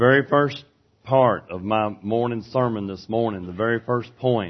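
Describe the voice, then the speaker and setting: A man talks with a Southern US accent. His intonation stays fairly even. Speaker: preacher. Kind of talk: sermon. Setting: church.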